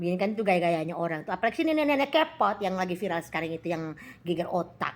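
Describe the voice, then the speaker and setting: A woman's very fast speech with very wide pitch swings. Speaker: live-stream seller. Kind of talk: casual live-stream chat. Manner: loud; animated.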